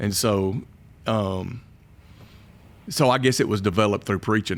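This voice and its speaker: A man with a strong Southern accent at a fairly quick pace, with ordinary pitch variation. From Alabama (Kimberly area). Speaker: pastor. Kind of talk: casual interview. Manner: animated.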